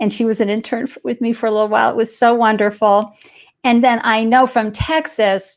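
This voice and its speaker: A woman's animated, fairly high voice with a Boston accent. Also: fairly quick pace. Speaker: live show host. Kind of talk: live interview show.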